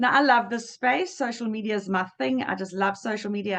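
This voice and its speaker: Speaking at a moderate pace, a woman has a medium pitch. Her tone is animated, with ordinary pitch variation. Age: 50s. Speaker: trainer / workshop presenter. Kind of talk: online training session. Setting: video call.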